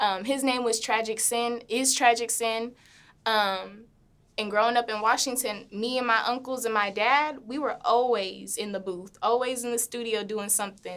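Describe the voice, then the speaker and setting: With an American accent, a woman speaks at a moderate pace in a fairly high pitch and fairly even intonation, on a very clean recording with a silent background. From Memphis, Tennessee (US South). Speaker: recording artist. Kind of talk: interview.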